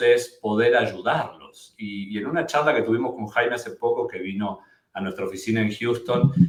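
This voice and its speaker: A man with an Argentine accent, medium pitch and fairly slow pace. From Argentina. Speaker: immigration lawyer. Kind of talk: webinar presentation. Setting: live webinar.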